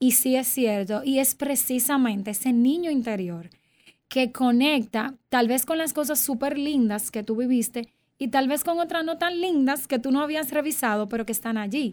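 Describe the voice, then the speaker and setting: In a very clean recording with a silent background, a woman talks at a moderate pace with a high pitch and ordinary pitch variation. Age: 30s. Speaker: clinical psychologist. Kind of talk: interview.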